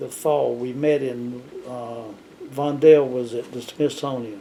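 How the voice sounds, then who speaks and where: A man with a Southern US accent speaks fairly slowly at medium pitch in a monotone, flat delivery, with noticeable background noise. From US South. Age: 70s. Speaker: retired planetarium director. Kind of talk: interview. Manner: halting.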